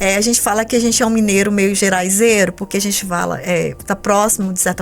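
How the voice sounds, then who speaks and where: Over noticeable background noise, a woman talks at a very fast pace with monotone, flat intonation. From Minas Gerais, Brazil (Montes Claros, north of the state). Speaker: theatre professor and cultural project reviewer. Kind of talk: podcast interview.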